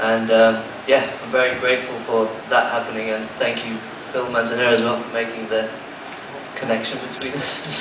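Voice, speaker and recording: A man's medium-pitched voice, fairly quick in pace yet broken by long, frequent pauses, in a monotone, flat delivery, with audible room echo and noticeable background noise. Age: young. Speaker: saxophone player. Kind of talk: press conference answer.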